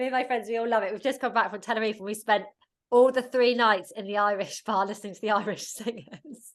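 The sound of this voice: A woman talks at a fast pace with a medium pitch and ordinary pitch variation.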